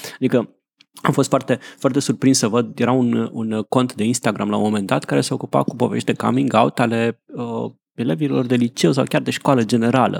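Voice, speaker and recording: Here is an unremarkable speaking voice from a man at medium pitch, with ordinary pitch variation. He keeps a moderate pace, and the sound is dry and close with no echo. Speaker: podcast host. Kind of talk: casual chat.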